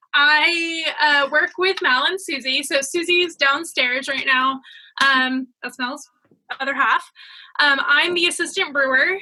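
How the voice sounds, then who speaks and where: With an American accent, a woman projects a raised, bright, sharp voice at a high pitch, fairly slow pace and ordinary pitch variation. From US (California / Boston area). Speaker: assistant brewer. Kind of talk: casual chat.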